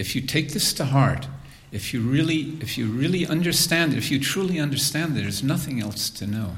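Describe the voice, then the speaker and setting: Against noticeable background noise and audible room echo, a man with a fairly high pitch speaks with lively intonation. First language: English (speaking German). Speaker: spiritual teacher. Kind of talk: lecture. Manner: slow, in short phrases.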